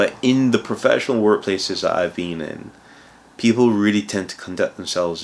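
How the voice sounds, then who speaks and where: The man's speech moves at a fairly quick pace. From Barbados. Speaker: cloud consultant and video blogger. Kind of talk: casual talk-to-camera advice. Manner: conversational, with many fillers.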